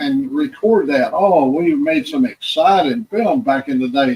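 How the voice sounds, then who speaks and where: His pitch swinging very widely, a man speaks at a fairly slow pace. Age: 80s+. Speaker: viewer on livestream. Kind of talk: casual chat.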